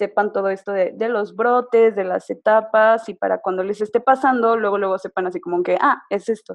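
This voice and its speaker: A woman with a Mexican accent at fairly high pitch, moderate pace and fairly even intonation, hardly any pauses, dry and close with no echo. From Mexico, San Luis Potosí. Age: 20s. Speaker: photographer and blogger. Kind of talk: casual interview.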